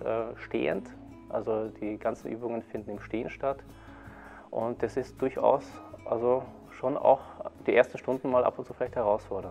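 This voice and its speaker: A man speaks at a moderate pace, stopping often for long pauses. Faint music plays in the background. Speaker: qigong teacher. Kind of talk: interview answer. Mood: calm, friendly. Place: hall.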